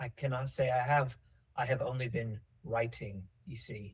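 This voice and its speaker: A raspy, put-on character voice moves at a moderate pace with fairly even intonation. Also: man, medium pitch for a man. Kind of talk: period drawing-room speech. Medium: actual play. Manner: melodramatic, wry.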